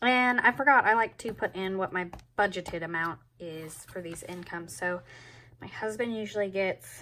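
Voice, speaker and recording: Her bright, sharp tone at medium pitch, a woman speaks at a moderate pace with ordinary pitch variation and big swings in loudness, on a very clean recording with a silent background. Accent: Southern US. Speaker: planner vlogger. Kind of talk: tutorial. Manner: casual.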